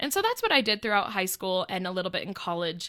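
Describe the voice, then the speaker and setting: A woman speaks loudly at a fairly quick pace. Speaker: podcast co-host. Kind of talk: casual chat.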